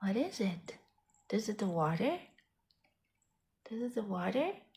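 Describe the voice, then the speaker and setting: The soft-spoken, somewhat breathy voice moves with lively intonation. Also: woman, moderate pace. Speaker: pet owner reviewing a product. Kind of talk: casual talk to pet while demonstrating. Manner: talking low, soft-spoken.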